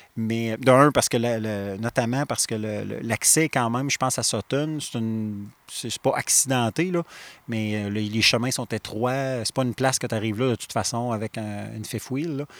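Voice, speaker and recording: Here a man has a normal speaking voice at a medium pitch and a moderate pace. His intonation is fairly even, and the sound is dry and close with no echo. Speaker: podcast host, outdoor columnist. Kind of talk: podcast conversation. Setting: outdoor studio.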